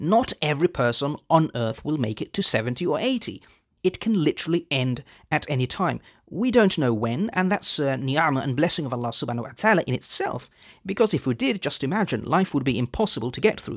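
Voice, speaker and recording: The background is quiet as a man talks at a fairly quick pace. His pitch swings very widely. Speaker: religious video host. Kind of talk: sermon-like commentary to camera. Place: studio. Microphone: headset.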